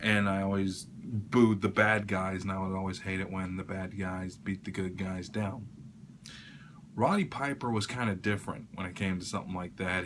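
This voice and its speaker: A man speaks quietly in a fairly low pitch. His intonation stays fairly even. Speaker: YouTuber. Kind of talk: casual vlog tribute. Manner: quiet, keeping voice down; hesitant, many fillers.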